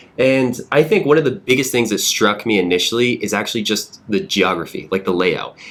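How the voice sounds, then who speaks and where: Speaking at a fairly quick pace with hardly any pauses, a man with an American accent has lively intonation and an unremarkable speaking voice. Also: medium pitch for a man. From US South, Georgia. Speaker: real estate podcast host. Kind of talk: casual podcast conversation.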